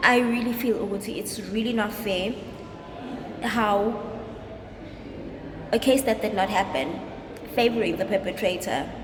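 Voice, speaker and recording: A woman speaks in a fairly high pitch at a moderate pace with ordinary pitch variation and long, frequent pauses, while noticeable background noise and audible room echo surround her. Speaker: vlogger. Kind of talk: personal vlog. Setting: outside court. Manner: halting.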